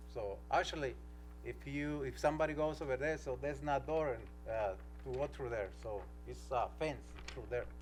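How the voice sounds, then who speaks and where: Against music in the background and audible room echo, a man with a non-native accent talks at a moderate pace with long, frequent pauses. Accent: non-native English speaker. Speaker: applicant for a permit, used car seller. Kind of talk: public hearing testimony. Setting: city council meeting. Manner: halting.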